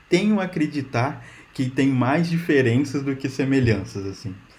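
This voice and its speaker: This man speaks fairly slowly and somewhat breathily. His intonation is lively. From Brazil, Minas Gerais (rural). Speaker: software engineer. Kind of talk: casual interview chat.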